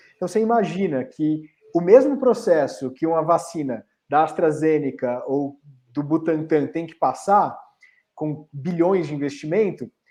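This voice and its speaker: A man speaks fairly slowly in a dark, mellow tone at fairly high pitch. His loudness swings a lot, while his pitch varies in an ordinary way. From Brazil, São Paulo and Recife (Pernambuco). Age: 30s. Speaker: startup founder. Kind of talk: interview on a panel.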